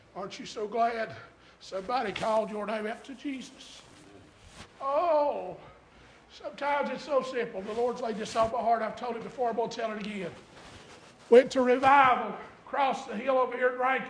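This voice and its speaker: A speaker with an American accent talks at a fairly quick pace, with fairly even intonation and long, frequent pauses. Audible room echo and noticeable background noise are present. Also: man, extremely high pitch for a man, big swings in loudness. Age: 50s. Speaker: pastor. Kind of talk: sermon. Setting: church.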